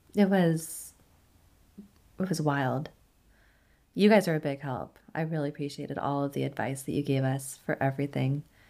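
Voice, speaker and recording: A woman with an American accent, a very deep, low pitch and a dark, mellow tone, at a moderate pace with long, frequent pauses. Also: ordinary pitch variation, very clean recording, silent background. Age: 30s. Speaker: labor and delivery nurse. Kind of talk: casual chat.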